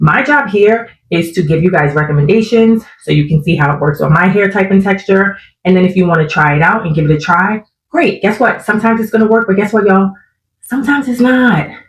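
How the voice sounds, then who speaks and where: A woman's somewhat breathy voice at a medium pitch, very fast in pace, with lively intonation. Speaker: natural hair content creator. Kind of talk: casual talk to camera.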